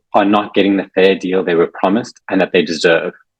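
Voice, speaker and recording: Speaking at a very fast pace with a South African accent, a man's fairly low voice comes through with a dry, close sound and no echo. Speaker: election candidate. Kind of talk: prepared campaign speech.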